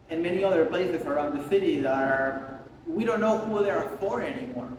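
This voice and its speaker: A man with an Argentinian accent speaks at a fairly quick pace in a high pitch with very wide pitch swings. Room echo is audible, and background noise is noticeable. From Argentina. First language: Spanish. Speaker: photographer. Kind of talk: casual interview during a studio visit. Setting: artist studio. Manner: speaking louder over the air conditioning.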